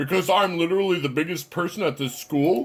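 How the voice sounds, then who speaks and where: Delivered at a fairly quick pace, a put-on character voice shows ordinary pitch variation. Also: man. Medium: solo performance. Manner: taunting, smug.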